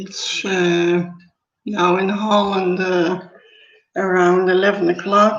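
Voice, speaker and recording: A woman with a Dutch accent, fairly slow and monotone, flat in intonation, with audible room echo. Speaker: author. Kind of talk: live stream book presentation. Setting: live stream on Facebook and YouTube. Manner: halting.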